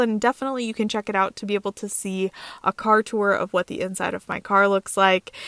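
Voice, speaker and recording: In a very clean recording with a silent background and a dry, close sound with no echo, a woman talks fairly quickly at medium pitch in a normal speaking voice. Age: 30s. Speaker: full-time car-dwelling traveler and content creator. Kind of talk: podcast interview.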